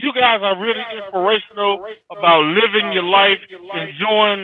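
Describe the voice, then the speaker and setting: Speaking high for a man, he uses ordinary pitch variation. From Chicago, southeast side. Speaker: caller, fuel truck driver. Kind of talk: casual chat.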